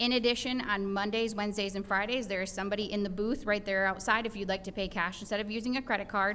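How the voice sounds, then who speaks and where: Very fast and monotone, a woman talks in a bright, sharp tone at a medium pitch. Audible room echo fills the recording. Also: hardly any pauses. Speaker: city department staff. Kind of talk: answering questions at council meeting.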